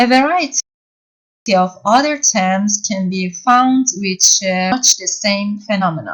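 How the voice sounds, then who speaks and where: A woman speaks at a fairly slow pace with lively intonation. Her voice is somewhat breathy. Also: medium pitch for a woman. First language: Persian. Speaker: university lecturer. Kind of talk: lecture. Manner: halting.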